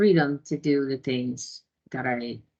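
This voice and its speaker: A woman talks with a Spanish accent. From Ecuador. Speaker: database administrator and tech founder. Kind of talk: conference talk. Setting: video call.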